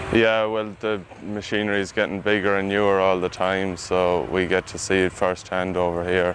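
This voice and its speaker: In an Irish accent, the speaker goes at a moderate pace with hardly any pauses and monotone, flat intonation, while noticeable background noise runs underneath. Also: man, very deep, low pitch for a man. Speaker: agricultural student intern, combine driver. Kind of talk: interview answers.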